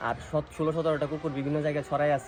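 Over noticeable background noise, a man talks in a fairly high voice. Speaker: dog breeder. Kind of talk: casual interview.

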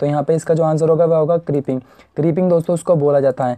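Flat and monotone, the voice comes through dry and close with no echo. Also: man. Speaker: technical exam tutor. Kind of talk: online exam lesson.

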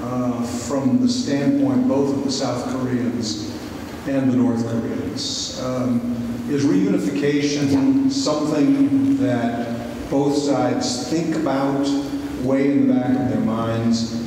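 Very slow speech in strong room echo, over light background noise. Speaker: audience member asking question. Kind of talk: Q&A question. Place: hall.

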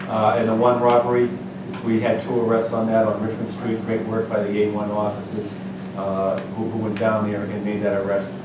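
Noticeable background noise and audible room echo accompany a man speaking. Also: moderate pace. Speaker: police official giving crime report. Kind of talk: meeting report. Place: meeting room. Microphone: camera far.

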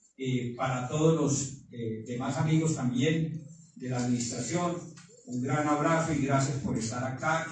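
Strong room echo and light background noise surround a man's voice. He speaks at a fairly slow pace with fairly even intonation. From Colombia. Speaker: mayor. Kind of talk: official speech. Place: meeting room.

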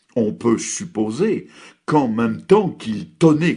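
A solemn man's voice with vocal fry, very slow, its pitch swinging very widely. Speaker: preacher. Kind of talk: sermon on a biblical text, preached with solemn rhetorical questions and exhortation. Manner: formal; earnest, solemn and declamatory.

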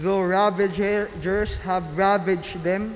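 The voice is a man's. He talks at a very slow pace. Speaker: lector reading scripture and prayers. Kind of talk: reading aloud, scripture and intercessions. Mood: solemn and measured. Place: church. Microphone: podium.

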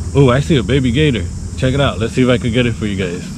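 A man rushes along at a very fast pace while background noise is noticeable. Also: dry sound with no echo. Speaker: travel vlogger. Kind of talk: casual vlog chat. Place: garden. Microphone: phone near.

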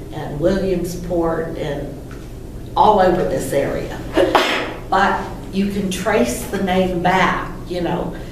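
With an American accent, a woman speaks at a very slow, fairly low pitch, leaving long, frequent pauses. Noticeable background noise and audible room echo surround her. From Pennsylvania, Johnstown area. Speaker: local historian. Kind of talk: lecture. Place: meeting room. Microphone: camera far.

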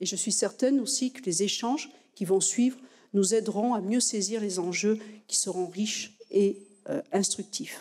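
Her voice is fairly high and dark, mellow in tone, as the woman speaks at a fairly slow pace with ordinary pitch variation. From France. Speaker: university president. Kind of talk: formal speech. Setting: lecture hall with audience. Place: hall. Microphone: podium.

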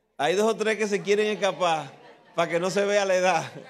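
A man with a high voice speaks at a moderate pace over light background noise. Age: old. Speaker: pastor. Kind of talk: tribute speech with humour. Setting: church. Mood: warm, nostalgic, joking. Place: church. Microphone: handheld.

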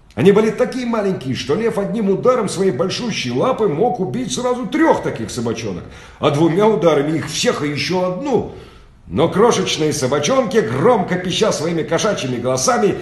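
Audible room echo surrounds a man speaking at a moderate pace. His high voice makes very wide pitch swings. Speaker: audiobook reader. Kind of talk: children's story reading. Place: home room. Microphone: phone near.

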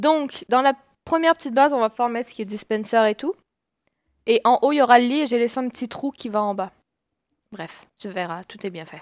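With long, frequent pauses and big swings in loudness, a woman talks at a fairly quick pace in a high, lively voice, recorded very cleanly against a silent background with a dry, close sound and no echo. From Quebec, Saguenay. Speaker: gamer. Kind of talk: casual chat.

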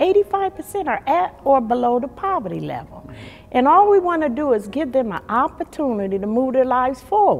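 A woman talks at a fairly quick pace in a high pitch, her voice swinging very widely up and down. Music plays in the background. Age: 60s. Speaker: neighborhood activist. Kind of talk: interview answer. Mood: emotional personal storytelling. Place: hall.

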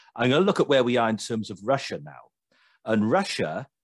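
A man with a British accent speaks at a very fast pace, the sound dry with no echo and the background quiet. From Britain. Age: 30s. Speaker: podcast host. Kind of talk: political discussion. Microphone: video call.

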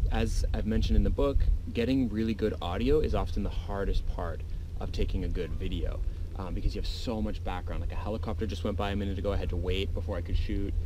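The man talks at a very fast pace. Noticeable background noise is present. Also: dry sound with no echo. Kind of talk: tutorial. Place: beach. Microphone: phone near.

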